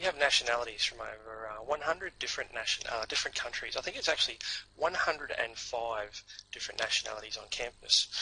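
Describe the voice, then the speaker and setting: Over noticeable background noise, a man speaks very fast. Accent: strong North Queensland. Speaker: university representative. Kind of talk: online presentation. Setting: online seminar. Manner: hesitant, many fillers.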